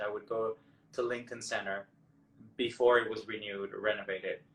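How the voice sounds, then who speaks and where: With a Mexican accent, a man talks at a moderate pace. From Mexico. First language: Spanish. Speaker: Broadway actor and singer. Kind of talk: interview.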